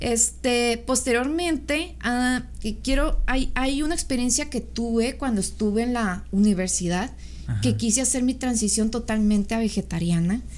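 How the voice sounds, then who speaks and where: A woman's voice at a moderate pace, very even in loudness, with audible room echo. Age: 30s. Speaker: bodybuilding competitor and architect. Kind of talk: casual interview chat.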